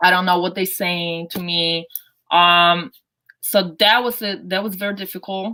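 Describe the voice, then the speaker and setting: A woman's bright, sharp voice at medium pitch, fairly slow and fairly even in intonation, in a Polish accent, on a very clean recording with a silent background. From Poland. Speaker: basketball coach. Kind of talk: interview. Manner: halting.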